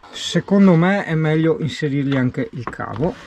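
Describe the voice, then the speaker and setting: A man speaks at a moderate pace with a fairly high pitch. Light background noise is present, and the sound is dry with no echo. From Veneto, Italy. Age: young. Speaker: travel vlogger. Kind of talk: casual vlog tutorial. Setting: workshop. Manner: animated. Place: car. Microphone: phone near.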